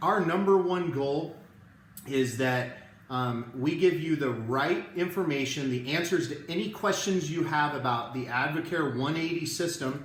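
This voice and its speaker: Quiet and at a fairly slow pace, a man speaks in a fairly high voice with ordinary pitch variation, amid noticeable background noise and audible room echo. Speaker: network marketing presenter. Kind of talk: live video sales presentation. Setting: live stream from home. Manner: quiet, holding back volume.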